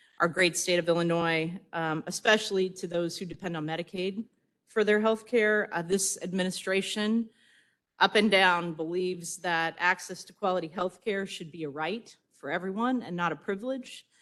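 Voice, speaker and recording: A woman's plain, everyday voice at a medium pitch, with fairly even intonation and big swings in loudness. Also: moderate pace. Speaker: state health agency director. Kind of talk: conference speech.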